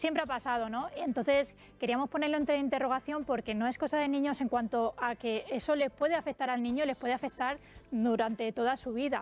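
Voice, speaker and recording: Against music in the background, a woman talks at a fairly quick pace with fairly even intonation. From Spain, Valencia and Albacete (Tarazona de la Mancha). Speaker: teacher and author. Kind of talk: radio interview.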